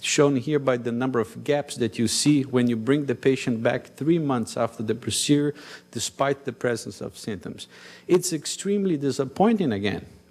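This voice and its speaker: This man talks in a Brazilian accent with ordinary pitch variation. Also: medium pitch for a man, moderate pace. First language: Portuguese. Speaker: cardiologist. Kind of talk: conference talk.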